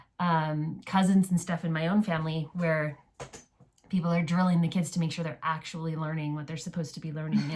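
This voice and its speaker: Her voice has a fairly low pitch and sounds somewhat breathy. The woman speaks at a fairly quick pace with monotone, flat intonation. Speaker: homeschool podcast co-host. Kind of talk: casual chat. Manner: halting.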